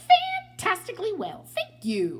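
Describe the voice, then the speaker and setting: A squeaky, put-on character voice at an extremely high pitch, fairly slow in pace, over clear background noise. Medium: read story. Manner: relaxed, good-humored.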